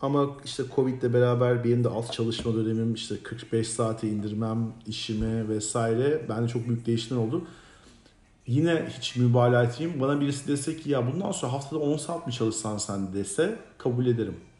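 At a moderate pace, a man talks at a medium pitch with ordinary pitch variation, and audible room echo can be heard. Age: 40s. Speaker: podcast co-host. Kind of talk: casual chat.

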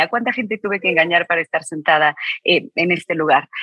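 Ordinary pitch variation from a woman speaking at a fairly quick pace. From Mexico. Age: 40s. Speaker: author and business executive. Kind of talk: interview.

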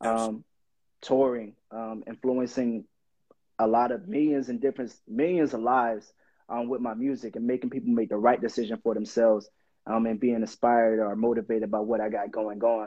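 Here is a man with a normal speaking voice. He talks at a medium pitch and a moderate pace. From Miami, Florida. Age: 20s. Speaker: rapper. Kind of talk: casual interview.

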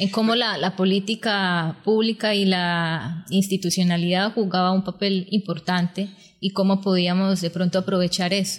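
A woman's medium-pitched, somewhat breathy voice, monotone and flat, very even in loudness, at a moderate pace with hardly any pauses, in a very clean recording with a silent background. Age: young. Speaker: social leader and public management expert. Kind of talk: interview, explaining policy.

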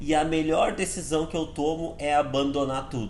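There is audible room echo around this man's fairly high-pitched voice. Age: 30s. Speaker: sales director giving team talks. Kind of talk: motivational talk. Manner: casual, animated.

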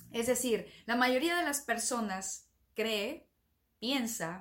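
A woman speaks at a very slow pace. Her voice is fairly high and somewhat breathy. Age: 30s. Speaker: podcast host, self-development coach. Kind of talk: motivational monologue.

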